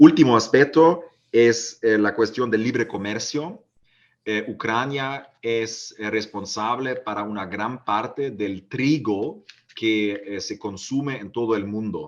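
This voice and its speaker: With a German accent, a man speaks at medium pitch and a very slow pace, his loudness swinging widely. The background is quiet. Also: ordinary pitch variation. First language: German (speaking Spanish). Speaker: politician. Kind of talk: panel talk. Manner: halting, many fillers.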